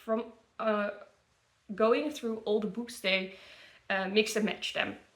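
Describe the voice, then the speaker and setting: A woman's fairly high voice in a Dutch accent, with audible room echo. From Netherlands. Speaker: book content creator. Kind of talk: casual product review. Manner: halting, many fillers.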